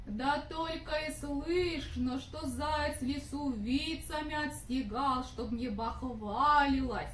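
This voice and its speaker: A cartoonish, female-sounding character voice, high-pitched and fairly slow, with clear background noise. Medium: puppet.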